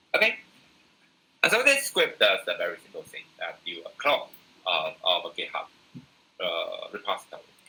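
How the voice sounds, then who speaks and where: At a moderate pace, a man speaks with big swings in loudness and long, frequent pauses. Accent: Taiwanese. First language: Mandarin. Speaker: university lecturer. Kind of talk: lecture. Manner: halting, many fillers.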